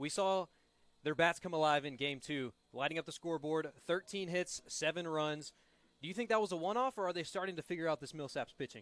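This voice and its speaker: In a normal speaking voice, a man talks at a fairly quick pace and fairly high pitch with ordinary pitch variation, the sound dry and close with no echo. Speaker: sports broadcaster. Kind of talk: play-by-play baseball broadcast.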